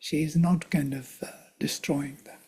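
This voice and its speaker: Somewhat breathy, a man speaks at a fairly high pitch in a dark, mellow tone with fairly even intonation. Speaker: teacher of Vedic texts. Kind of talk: lecture.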